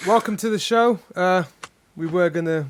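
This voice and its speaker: In a British accent, a man talks with ordinary pitch variation. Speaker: podcast co-host.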